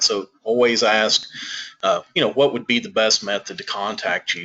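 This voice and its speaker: Delivered in a Southern US accent, the speech has a monotone, flat intonation. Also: man. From US South. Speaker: senior living consultant. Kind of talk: webinar presentation.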